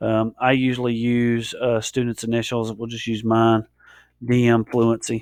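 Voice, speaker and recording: At a moderate pace, a man talks in a medium pitch with a dry, close sound and no echo. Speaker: teacher giving software tutorial. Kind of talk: tutorial. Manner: hesitant, many fillers.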